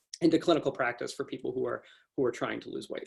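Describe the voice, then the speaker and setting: A man speaks with ordinary pitch variation. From Canada. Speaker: university researcher. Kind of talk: lecture. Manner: fast.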